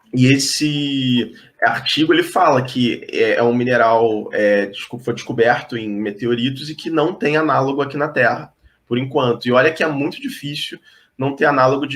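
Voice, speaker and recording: A man with a Rio de Janeiro accent speaks at a moderate pace with ordinary pitch variation. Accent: Rio de Janeiro (carioca). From Brazil, Rio de Janeiro. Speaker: geologist. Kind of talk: explanatory talk in online interview. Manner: hesitant with frequent fillers.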